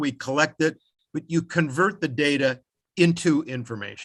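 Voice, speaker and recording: A man with a fairly high pitch, a bright, sharp tone and ordinary pitch variation, against a quiet background. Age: 70s. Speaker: conference keynote speaker, author and instructor. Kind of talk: conference presentation.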